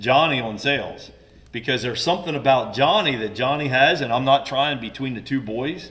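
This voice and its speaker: Noticeable background noise sits behind the speaker. He is a man talking at a medium pitch and moderate pace. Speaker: business owner's father, guest on family business podcast. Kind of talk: casual chat.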